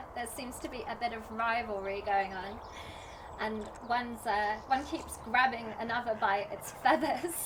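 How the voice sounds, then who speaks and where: A woman speaks at a moderate pace in a fairly high voice with ordinary pitch variation and big swings in loudness. Noticeable background noise and audible room echo surround her. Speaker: folk musician and video host. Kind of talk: casual vlog chat. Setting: outdoors by a river. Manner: quiet.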